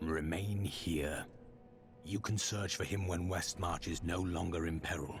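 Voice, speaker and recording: Over clear music in the background, a man uses a put-on character voice with a very deep, low pitch. He keeps a moderate pace. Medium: video game. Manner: calm, terse, serious.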